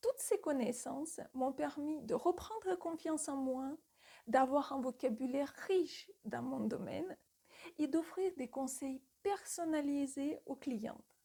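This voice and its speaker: Speaking very slowly, a woman uses lively intonation and a dark, mellow tone at a high pitch. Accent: non-native. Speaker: retail store manager and sales coach. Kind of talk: tutorial.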